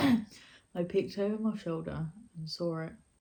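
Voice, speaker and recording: In a British accent, a woman speaks at a fairly low pitch with a dark, mellow, somewhat breathy tone and fairly even intonation. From Britain. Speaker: YouTuber and storyteller. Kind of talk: horror story reading.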